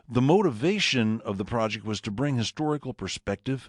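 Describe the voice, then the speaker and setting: A man with an unremarkable speaking voice talks at a moderate pace with lively intonation. The background is quiet and the sound is dry and close with no echo. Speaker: radio personality. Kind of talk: presentation narration.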